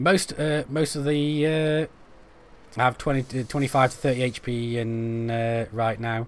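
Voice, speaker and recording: At a fairly slow pace, a man with a Stoke accent speaks at a medium pitch. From England, Stoke-on-Trent. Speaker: gaming streamer. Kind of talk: live-stream gameplay commentary. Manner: casual, chatty; halting, stumbling over words.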